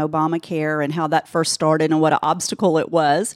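Using a normal speaking voice, a woman with an American accent talks at a fairly quick pace in a fairly low pitch, the sound dry and close with no echo. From Georgia, US South. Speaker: insurance agency owner. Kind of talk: interview. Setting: studio.

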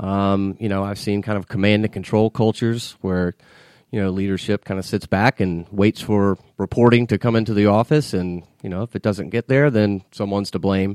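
A man with an unremarkable speaking voice talks in an American accent at a fairly low pitch with fairly even intonation. The recording is very clean, with a silent background and a dry, close sound with no echo. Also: moderate pace. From US South, Atlanta area (Marietta, Georgia). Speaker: financial consultant. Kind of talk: interview. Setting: studio.

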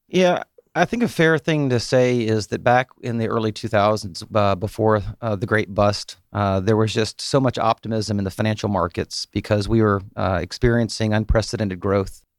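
An unremarkable speaking voice from a man with an American accent, fairly low in pitch, at a moderate pace with hardly any pauses and ordinary pitch variation, in a very clean recording with a silent background and a dry, close sound with no echo. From US South, Atlanta area. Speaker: mortgage banker. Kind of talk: radio interview. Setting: studio.

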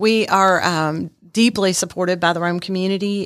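In an ordinary speaking voice, a woman with fairly low pitch and fairly even intonation speaks at a moderate pace on a very clean recording with a silent background. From Texas and Germany (army family). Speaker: homeless shelter director. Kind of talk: radio interview. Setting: studio.

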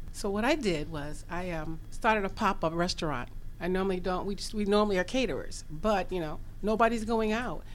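A woman with an unremarkable speaking voice talks at a fairly quick pace, medium in pitch, with ordinary pitch variation. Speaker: chef and caterer. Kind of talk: radio interview. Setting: studio.

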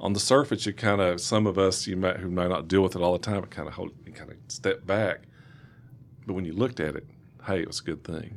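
This man talks at a fairly quick pace with a Southern US accent. His pitch sits fairly low. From East Tennessee, US South. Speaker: state legislator. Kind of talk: radio interview. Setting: studio.

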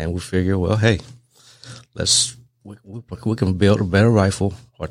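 A man's very deep, low voice with fairly even intonation, on a very clean recording with a silent background. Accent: Lao. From Laos. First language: Lao. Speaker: rifle manufacturer. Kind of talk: casual interview. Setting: studio.

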